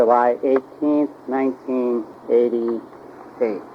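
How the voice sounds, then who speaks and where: Over noticeable background noise, a man at medium pitch speaks at a very slow pace. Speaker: oral history interviewer. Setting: home recording.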